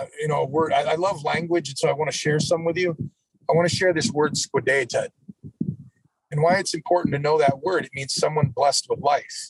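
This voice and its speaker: A man with a plain, everyday voice talks at a fairly quick pace and fairly high pitch, with fairly even intonation. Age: 50s. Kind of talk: casual interview.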